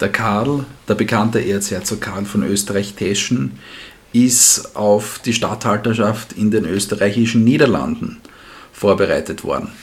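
A man's fairly low voice at a fairly slow pace, over noticeable background noise. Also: ordinary pitch variation. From Styria, Austria. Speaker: history podcast co-host. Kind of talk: casual history storytelling.

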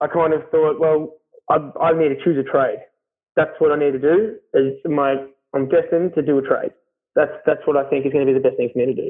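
A man with an Australian accent speaks at a fairly quick pace. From Australia, Melbourne. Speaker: carpenter. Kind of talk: casual interview. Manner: loud.

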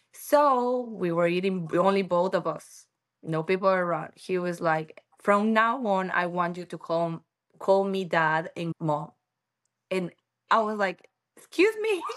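With a Spanish accent, a woman speaks at a fairly slow pace in a medium pitch, with ordinary pitch variation. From Ecuador, Quito. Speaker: podcast guest, mother. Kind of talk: casual interview. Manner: halting.

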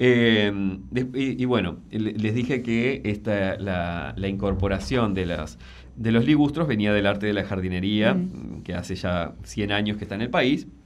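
A man's fairly low voice with vocal fry, a fairly slow pace, ordinary pitch variation and audible room echo. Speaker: landscape designer and environmental columnist. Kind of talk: radio interview column. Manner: halting, with frequent repetitions.

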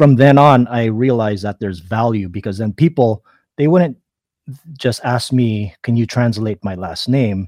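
A man's medium-pitched voice at a moderate pace, with ordinary pitch variation and a dry, close sound free of echo. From Philippines. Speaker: artist and calligrapher. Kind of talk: interview. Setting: remote live stream. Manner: halting, many fillers.

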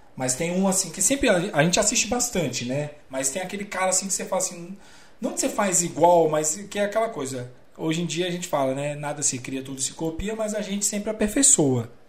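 A man's high-pitched voice, fairly quick and full of lively intonation, over noticeable background noise. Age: 30s. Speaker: live stream host. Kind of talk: casual chat. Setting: live stream from home.

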